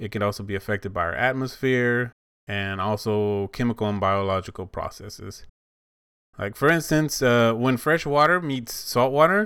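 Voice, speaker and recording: A man speaks at a moderate pace and medium pitch. His pitch variation is ordinary, on a very clean recording with a silent background. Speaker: podcast host. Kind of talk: casual solo podcast monologue. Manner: rambling, conversational.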